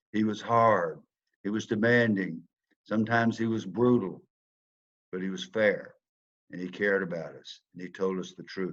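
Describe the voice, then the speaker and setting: A man speaks in a Southern US accent. His pitch sits fairly low, and his intonation stays fairly even. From US South. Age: 70s. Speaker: former football player, speaker. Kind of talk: motivational talk.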